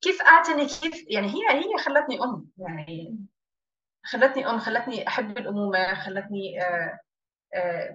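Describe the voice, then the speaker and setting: A woman with a high pitch speaks at a fairly slow pace, with very wide pitch swings and big swings in loudness. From Jordan (Amman). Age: 30s. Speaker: business owner. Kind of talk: interview.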